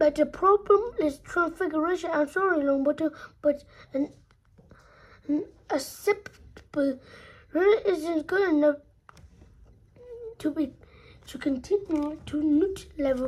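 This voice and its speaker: A woman's put-on character voice, extremely high in pitch, at a fairly slow pace with long, frequent pauses. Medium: read story. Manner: brisk, formal.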